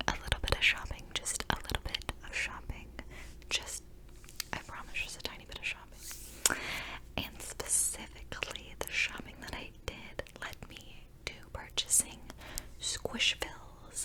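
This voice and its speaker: A woman whispers at a fairly slow pace, her loudness swinging widely. Noticeable background noise is present. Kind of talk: whispered ASMR vlog to camera. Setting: close-mic studio recording. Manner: whispered, soft, rambling.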